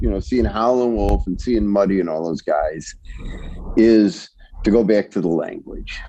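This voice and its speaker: Over music in the background, a man with an American accent speaks at a fairly slow pace. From Chicago West Side. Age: 70s. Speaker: songwriter. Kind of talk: interview storytelling. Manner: halting with many repetitions.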